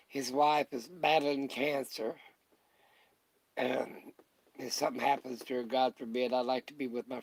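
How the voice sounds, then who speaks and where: The speech has a monotone, flat intonation at a moderate pace. Long, frequent pauses stand out in a dry, close sound with no echo. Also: man. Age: 80s+. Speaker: retired microbiologist vlogger. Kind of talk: casual live stream chat. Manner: halting, with repetitions.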